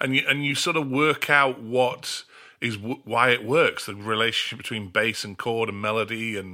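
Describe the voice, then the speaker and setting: Bright and sharp in tone, a man speaks at a medium pitch with ordinary pitch variation and a moderate pace. The recording is very clean, with a silent background. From Australia. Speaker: songwriter and record producer. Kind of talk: interview. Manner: halting, many repeated words.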